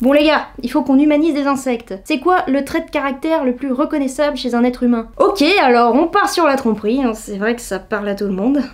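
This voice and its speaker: Pitched high, a woman talks at a fairly quick pace with lively intonation and hardly any pauses. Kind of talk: humorous commentary to camera. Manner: casual, joking.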